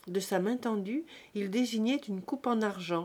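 The reading voice is unforced, and its pitch varies in an ordinary way.

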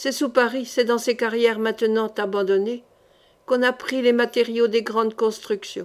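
Fairly even intonation carries through as someone is reading aloud in a natural voice.

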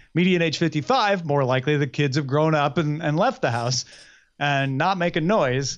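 In a plain, everyday voice, a man with a fairly high pitch speaks at a moderate pace, with very even loudness and ordinary pitch variation. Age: 40s. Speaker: podcast host. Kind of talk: casual chat.

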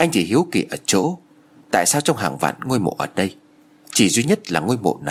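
Reading in a natural voice

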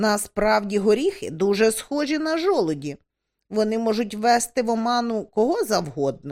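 A quiet background behind a natural reading voice with lively intonation

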